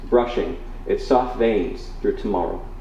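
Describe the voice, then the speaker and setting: Speaking in an American accent, a man is heard with room echo and clear background noise. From Wisconsin, Oshkosh. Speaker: spoken word poet. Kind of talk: poetry reading. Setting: bookstore stage with audience. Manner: loud; halting between poems, fluent while reading.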